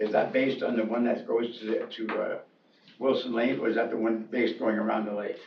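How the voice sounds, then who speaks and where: With an American accent and fairly even intonation, a medium-pitched man talks at a very fast pace amid audible room echo and noticeable background noise. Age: 80s+. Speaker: landowner. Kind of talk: public meeting discussion.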